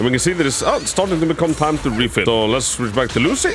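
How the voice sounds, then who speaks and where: A man's intonation is lively while music plays in the background. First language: not English. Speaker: gaming video creator. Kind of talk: game guide tutorial with gameplay commentary. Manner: halting, repeats words.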